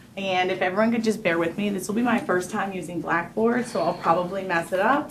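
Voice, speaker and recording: A woman with an American accent and a medium-pitched voice talks at a fairly quick pace with hardly any pauses and ordinary pitch variation, over noticeable background noise. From New York. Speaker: entrepreneur pitching business. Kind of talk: sales pitch. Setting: room with live audience, no microphone. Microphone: speaking without microphone.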